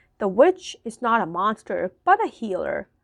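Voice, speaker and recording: In a put-on character voice with a hissing quality, a woman speaks at a moderate pace and fairly high pitch over a quiet background. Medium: read story. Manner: hissing, coaxing.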